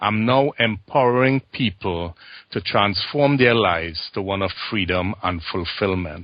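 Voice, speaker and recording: With a Trinidadian accent, a man speaks at a fairly slow pace in a fairly low pitch with ordinary pitch variation. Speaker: transformation coach and former banker. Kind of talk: interview.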